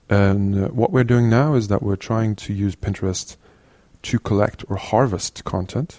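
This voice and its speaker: A Norwegian-accented man's fairly low voice, dark and mellow in tone, at a fairly slow pace with ordinary pitch variation, on a very clean recording with a silent background. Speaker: CTO of an educational resources organisation. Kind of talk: interview. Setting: in person in Oslo. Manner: halting.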